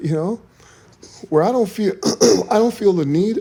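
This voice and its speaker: Moderately paced speech with lively intonation, set against noticeable background noise. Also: man. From Quebec, Canada (Montreal). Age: 60s. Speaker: former professional bodybuilder, event promoter. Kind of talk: casual podcast chat. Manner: relaxed, casual with slang.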